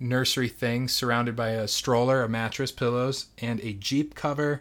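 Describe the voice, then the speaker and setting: A man with an ordinary speaking voice, medium pitch and fairly even intonation, at a moderate pace, in a very clean recording with a silent background. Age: late 20s. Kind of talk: casual interview. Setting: home nursery room.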